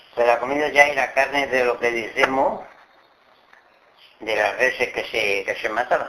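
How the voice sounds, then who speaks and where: A man with a medium-pitched voice talks at a fairly slow pace and fairly even intonation, leaving long, frequent pauses over noticeable background noise. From Extremadura, Cáceres (Guijo de Santa Bárbara). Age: 80s+. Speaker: farm worker, dialect survey informant. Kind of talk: interview about local customs. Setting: at home. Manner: halting.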